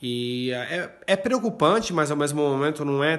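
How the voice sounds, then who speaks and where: A man at a fairly high pitch and very slow pace, against a quiet background. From Brazil, Limeira (São Paulo state); São Paulo, Brazil. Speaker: journalist. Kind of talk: recorded voice message report. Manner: hesitant, filler words. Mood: calm, mildly concerned. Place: home room. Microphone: phone near.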